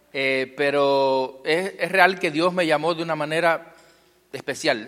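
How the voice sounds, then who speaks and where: A man with a Cuban accent talks at a very slow pace. His pitch varies in an ordinary way. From Cuba, Guantánamo. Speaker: pastor. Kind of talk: testimony. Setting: church.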